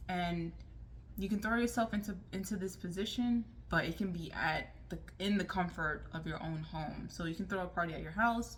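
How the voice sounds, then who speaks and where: A woman speaks quietly at a moderate pace. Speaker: lifestyle vlogger. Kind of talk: casual advice vlog.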